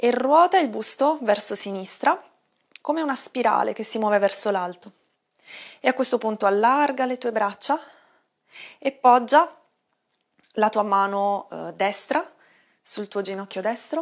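Against a quiet background, a woman speaks at a fairly slow pace with long, frequent pauses. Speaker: yoga instructor. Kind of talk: guided exercise instruction. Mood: calm, soothing. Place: home room.

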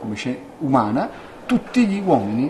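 The speech moves at a fairly quick pace against light background noise. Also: man. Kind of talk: interview answer. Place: office. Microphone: handheld.

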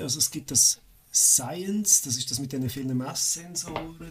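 A man speaks at a medium pitch with a Swiss accent. His pitch varies in an ordinary way, and there is noticeable background noise. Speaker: hobby game programmer. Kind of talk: casual chat.

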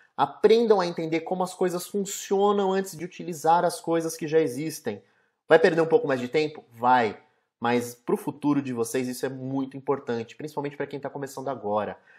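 Over a quiet background, a man with a fairly high pitch and lively intonation speaks in an unremarkable speaking voice. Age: 20s. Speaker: software developer; presenter. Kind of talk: tutorial. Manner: casual. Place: home room. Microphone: webcam.

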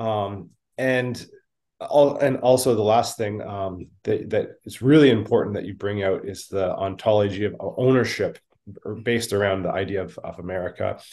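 A man's fairly low voice in a Canadian accent, with ordinary pitch variation, big swings in loudness, a dark, mellow tone and a moderate pace. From Canada. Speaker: podcast co-host. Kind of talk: interview. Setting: video call. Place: home room. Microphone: video call.

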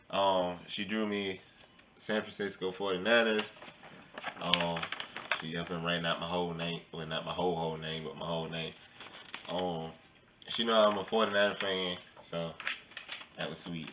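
Very deep, low pitch from a man at a fairly slow pace, with long, frequent pauses, fairly even intonation and noticeable background noise. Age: 30s. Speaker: family vlogger. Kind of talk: casual chat. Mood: cheerful, pleased. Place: home room.

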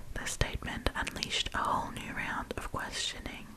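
A woman whispers, soft-spoken, at a fairly slow pace. Loud background noise surrounds her. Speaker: storyteller. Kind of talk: soft-spoken story reading. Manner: close, soft ASMR whisper. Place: home room. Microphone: studio mic.

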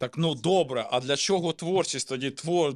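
There is ordinary variation in pitch. It is a plain, everyday voice. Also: man. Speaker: podcast host. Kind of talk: casual chat.

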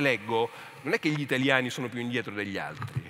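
Very fast speech from a man, medium in pitch, with ordinary pitch variation. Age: 50s. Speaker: literature professor and author; speaker. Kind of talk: panel discussion. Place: stage. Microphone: headset.

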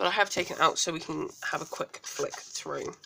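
A woman with a British accent at a moderate pace. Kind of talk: casual talk to camera.

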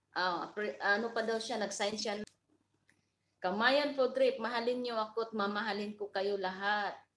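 The intonation stays fairly even. Delivery is at a moderate pace. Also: woman, fairly high pitch for a woman. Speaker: livestream vlogger. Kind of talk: casual livestream chat with viewers.

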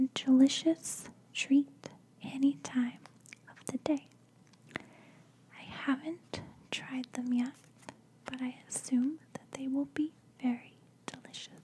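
Soft-spoken and gentle in tone, a woman talks very slowly in a flat monotone, high-pitched for a woman, with long, frequent pauses. Light background noise can be heard. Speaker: lifestyle vlogger. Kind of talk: casual vlog chat. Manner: soft-spoken, gentle, close to mic. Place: home room. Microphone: studio mic.

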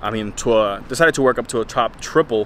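A man talks at a fairly quick pace over light background noise. The sound is dry, with no echo. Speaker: fitness vlogger. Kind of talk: casual vlog chat. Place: street. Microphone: phone near.

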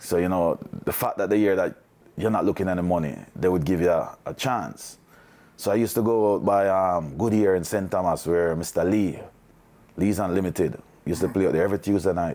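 This man talks at a fairly quick pace in a very deep, low pitch, his dark, mellow tone carried on fairly even intonation. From Jamaica, Kingston and Portmore; Jamaica. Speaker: former music manager; interviewee. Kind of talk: interview. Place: home room.

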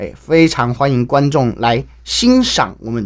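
A man with a Taiwanese accent against a quiet background. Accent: Taiwanese Mandarin. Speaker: Peking opera actor; young opera actor guest. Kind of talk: radio interview; event promotion. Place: studio. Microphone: studio mic.

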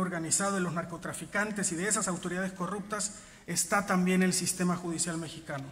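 Speaking at a very fast pace, a man with a high pitch keeps a monotone, flat intonation. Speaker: journalist giving a tribute speech. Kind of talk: solemn tribute speech. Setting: stage with audience. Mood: solemn, indignant. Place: stage. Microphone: podium.

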